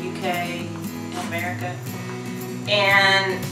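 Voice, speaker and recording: Over clear background music, a woman speaks with audible room echo. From North Carolina / South Carolina, USA. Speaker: indie author. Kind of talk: casual vlog talk to camera. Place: home room. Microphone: camera far.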